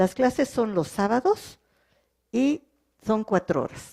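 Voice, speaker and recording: A woman with a French accent, dark, mellow tone and lively intonation at a fairly slow pace, dry and close with no echo. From French-speaking country. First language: French (speaking Spanish). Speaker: legal translator. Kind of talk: panel talk. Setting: cultural centre with audience.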